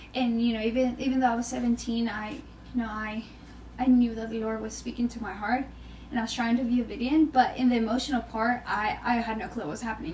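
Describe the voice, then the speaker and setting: A woman with a Venezuelan accent, fairly high-pitched and fairly even in intonation, over noticeable background noise. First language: Spanish. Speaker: podcast guest. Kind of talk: casual chat. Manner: halting, repeats words.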